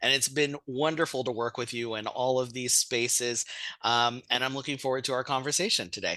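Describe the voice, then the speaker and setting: Bright and sharp in tone, a man with an American accent speaks at a medium pitch. His pace is fairly quick and his intonation fairly even. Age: 40s. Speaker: professor and family therapist. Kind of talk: interview.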